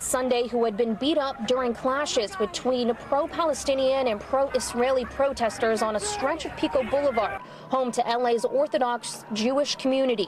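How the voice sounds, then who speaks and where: A woman's high-pitched voice at a moderate pace, with very even loudness, ordinary pitch variation, hardly any pauses, and noticeable background noise. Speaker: TV news reporter. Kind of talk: TV news report.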